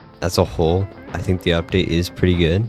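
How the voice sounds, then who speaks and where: Over music in the background, a man with a very deep, low voice speaks at a fairly quick pace with fairly even intonation. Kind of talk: video game commentary voice-over.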